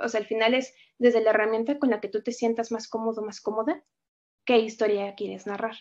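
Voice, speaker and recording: The speaker moves at a fairly quick pace with a monotone, flat intonation. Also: woman, fairly high pitch for a woman. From Mexico. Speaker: poet and writer, teacher. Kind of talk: interview answers, with a poem reading. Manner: reflective, with frequent filler words.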